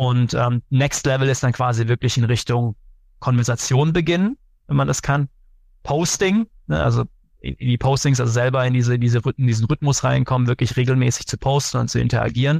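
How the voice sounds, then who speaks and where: Medium in pitch, a man talks with ordinary pitch variation and very even loudness, the sound dry and close with no echo. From Germany, Karlsruhe. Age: 30s. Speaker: sales executive. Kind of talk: interview. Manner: hesitant with many fillers.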